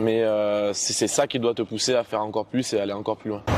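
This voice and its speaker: A man talks at a very fast pace in a monotone, flat delivery. The sound is dry and close with no echo, though noticeable background noise is present. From southern France, Toulouse area. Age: 20s. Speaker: student entrepreneur, former kitesurf champion. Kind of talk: interview. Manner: hesitant with frequent filler sounds.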